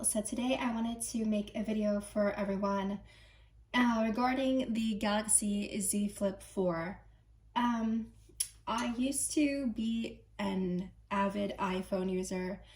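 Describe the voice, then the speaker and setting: Somewhat breathy, a woman speaks at a very slow pace with very even loudness. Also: medium pitch for a woman, ordinary pitch variation. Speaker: tech reviewer. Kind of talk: casual talk to camera.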